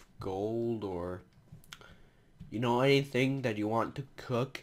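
A man speaks at a medium pitch with ordinary pitch variation, and noticeable background noise is present. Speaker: gaming youtuber. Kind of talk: let's play commentary. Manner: hesitant, many fillers.

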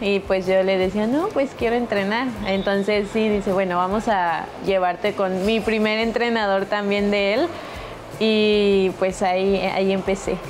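A woman's fairly slow, monotone delivery with flat intonation, music playing in the background. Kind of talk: interview answer. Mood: cheerful, a bit shy. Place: hall.

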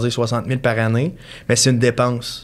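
The speaker is a man. He has a Quebec accent. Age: 20s. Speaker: mortgage broker; podcast guest. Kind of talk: casual chat. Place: studio. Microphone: studio mic.

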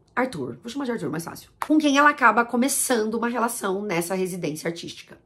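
A woman speaks very fast at a fairly high pitch, with very wide pitch swings and big swings in loudness. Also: hardly any pauses. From Brazil. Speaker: YouTuber discussing language and films; YouTuber discussing language. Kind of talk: casual monologue to camera. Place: home room.

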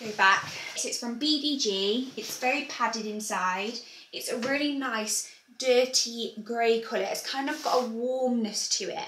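Over light background noise and audible room echo, a woman speaks fairly slowly with a high pitch and ordinary pitch variation. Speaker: fashion vlogger. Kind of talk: casual vlog chat. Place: home room.

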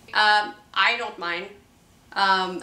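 Audible room echo surrounds a woman as she talks. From French Canadian. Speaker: indie filmmaker. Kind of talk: casual talk to camera. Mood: amused, expressive. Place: home room.

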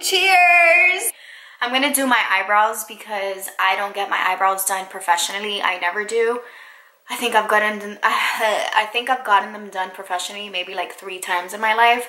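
There is audible room echo as a woman speaks at a moderate pace. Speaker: vlogger. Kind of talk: casual vlog chat. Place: home room. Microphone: phone near.

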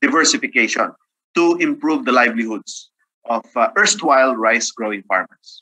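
Over a quiet background, a man with a fairly high pitch and a bright, sharp tone talks at a fairly quick pace with lively intonation. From Philippines. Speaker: agricultural economist; presenter. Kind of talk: webinar presentation. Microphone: video call.

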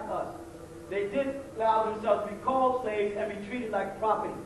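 Audible echo from the room, plus light background noise. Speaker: lecturer. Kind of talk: lecture. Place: stage. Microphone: podium.

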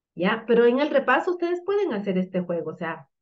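A woman talks at a fairly quick pace, her fairly high pitch making big swings up and down.

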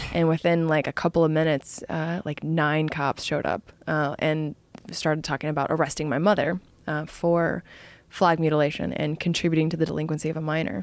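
Her voice very deep and low, a woman speaks at a fairly quick pace with monotone, flat intonation in a dry sound with no echo. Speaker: podcast guest. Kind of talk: interview answer. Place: studio. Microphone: studio mic.

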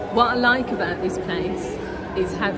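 A woman is speaking. Crowd noise fills the background. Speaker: food vlogger. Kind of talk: casual vlog chat. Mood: cheerful, smiling. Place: street. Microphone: phone near.

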